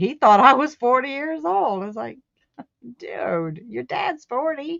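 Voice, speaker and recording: A woman's high-pitched voice with very wide pitch swings and big swings in loudness, at a fairly slow pace. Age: 60s. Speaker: crochet crafter. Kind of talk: casual chat.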